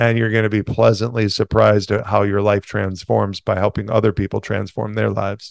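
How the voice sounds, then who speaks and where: In a very clean recording with a silent background and a dry, close sound with no echo, a man uses a normal speaking voice with fairly low pitch and fairly even intonation. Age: 40s. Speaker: entrepreneur and financial coach. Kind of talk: interview.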